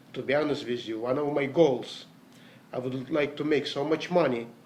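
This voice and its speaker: This man speaks with a non-native accent at a moderate pace. His pitch sits fairly high. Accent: foreign. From Latvia, Riga. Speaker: network marketer. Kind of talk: motivational talk. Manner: hesitant.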